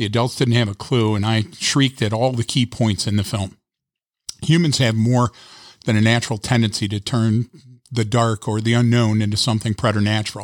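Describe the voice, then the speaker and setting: Speaking with an American accent, this is an ordinary speaking voice at a fairly quick pace. The intonation is fairly even, and the sound is dry and close with no echo. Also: man, medium pitch for a man. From Detroit. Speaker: trainer and writer. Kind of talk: casual podcast conversation.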